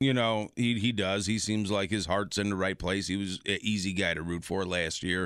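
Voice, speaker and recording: In a very clean recording with a silent background, a man uses a normal speaking voice at a fairly low pitch and moderate pace, with fairly even intonation and very even loudness. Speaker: podcast co-host. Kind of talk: casual chat.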